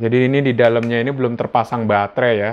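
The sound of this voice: A man at medium pitch, talking at a fairly quick pace.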